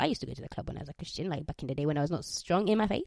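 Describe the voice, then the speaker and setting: The sound is dry and close, with no echo. A woman with a fairly low pitch speaks very fast. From Uganda. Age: 20s. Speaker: podcast host. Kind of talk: casual solo podcast monologue, testimony. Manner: casual, chatty.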